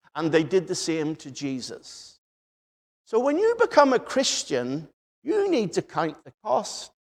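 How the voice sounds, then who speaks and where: With a Northern Irish accent, a man speaks high for a man at a fairly slow pace, his pitch swinging very widely and his loudness shifting in big swings. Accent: Northern Irish, noticeable. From Northern Ireland, Belfast. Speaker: preacher. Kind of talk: sermon.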